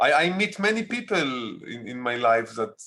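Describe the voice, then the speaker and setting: A man speaks with an Israeli accent. His pace is moderate. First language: Hebrew. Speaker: documentary filmmaker. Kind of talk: interview. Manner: halting.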